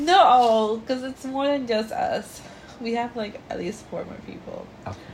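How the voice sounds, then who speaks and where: Over noticeable background noise, a woman with a high pitch speaks at a fairly slow pace, with lively intonation and big swings in loudness. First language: Spanish. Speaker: podcast co-host. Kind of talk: casual chat. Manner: animated.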